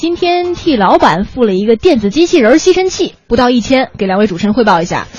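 Fairly quick female speech, high in pitch and with very wide pitch swings. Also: hardly any pauses. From China, Shaanxi (Weinan). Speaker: radio host. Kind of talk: casual chat. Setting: studio.

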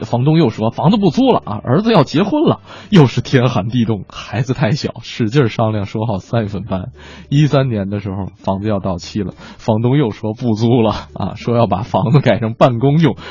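Amid noticeable background noise, a man at medium pitch talks at a moderate pace with lively intonation. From Northeast China. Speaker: radio host. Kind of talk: casual radio chat. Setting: radio studio.

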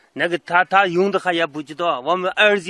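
A man with a bright, sharp tone talks at a moderate pace, recorded with a dry, close sound with no echo. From Xinjiang, Lop Nur area. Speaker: villager interviewee. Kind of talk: field interview. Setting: outdoors. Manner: halting.

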